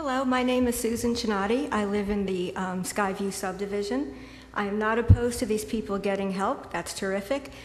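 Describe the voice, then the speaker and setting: At a fairly quick pace, the speaker uses ordinary pitch variation while audible room echo surrounds the voice. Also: woman, medium pitch for a woman. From Connecticut. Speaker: local resident. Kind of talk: public comment at zoning hearing. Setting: public meeting room.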